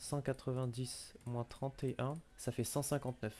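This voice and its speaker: Monotone and flat, a man talks with a dark, mellow tone. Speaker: Pokémon competitive player. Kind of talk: casual chat.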